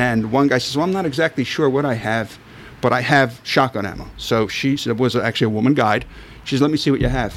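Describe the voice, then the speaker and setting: In a Philadelphia accent, the speaker goes at a very fast pace with ordinary pitch variation. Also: man, medium pitch for a man. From Philadelphia, South Philly. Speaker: sporting clays shooter. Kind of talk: casual chat.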